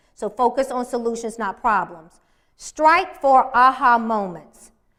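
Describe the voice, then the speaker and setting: Her bright, sharp voice sits high, and the woman speaks at a fairly slow pace with lively intonation. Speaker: workshop presenter. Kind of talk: workshop presentation.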